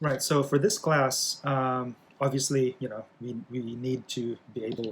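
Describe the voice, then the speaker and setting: A man with a Philippine accent, fairly even intonation and a fairly slow pace over noticeable background noise. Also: medium pitch for a man. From Philippines. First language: Bisaya. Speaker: college English instructor. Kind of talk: lecture. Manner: halting, many fillers.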